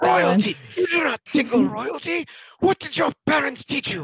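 A man performs a put-on character voice at an extremely high pitch. His pitch swings very widely at a moderate pace. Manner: haughty, indignant, affronted.

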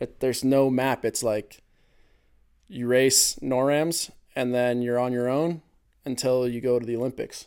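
A dark, mellow voice in an American accent at a fairly slow pace, with fairly even intonation and long, frequent pauses. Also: man, medium pitch for a man. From California, US. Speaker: ski cross racer. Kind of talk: casual chat.

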